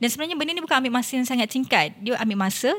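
A woman's lively intonation on a very clean recording with a silent background. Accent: Malaysian. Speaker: politician. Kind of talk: casual interview.

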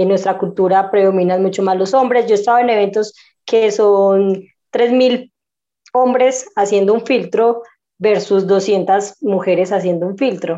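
At a fairly slow pace, a woman speaks at a medium pitch in a dark, mellow tone with fairly even intonation. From Colombia, Medellín. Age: 20s. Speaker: breaking dancer. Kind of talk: interview.

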